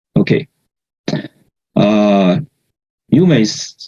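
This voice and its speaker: A man with a non-native accent speaks at medium pitch. His tone is dark and mellow, with lively intonation. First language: not English. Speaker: researcher in religious studies, award-winning paper presenter. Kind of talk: conference presentation. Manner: halting, many fillers.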